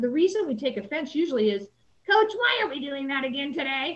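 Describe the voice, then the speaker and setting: A high-pitched woman with an American accent and very wide pitch swings. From Salinas, California. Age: 60s. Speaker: high school athletic director. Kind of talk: interview.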